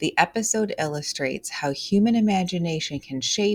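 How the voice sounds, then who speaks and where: A woman talks at a fairly slow pace in a somewhat breathy voice. Her pitch swings very widely. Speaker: test prep tutor. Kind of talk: tutorial. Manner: casual, animated.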